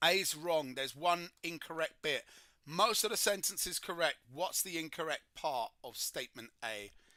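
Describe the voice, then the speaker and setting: Recorded dry and close with no echo, a man with a British accent talks at a moderate pace in a high, bright, sharp voice with lively intonation. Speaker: chemistry tutor. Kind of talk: livestream tutorial. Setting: livestream.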